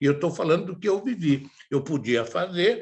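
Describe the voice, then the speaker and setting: A man's somewhat breathy voice rises and falls with ordinary pitch variation. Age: 80s+. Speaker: theatre director. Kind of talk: talk / interview.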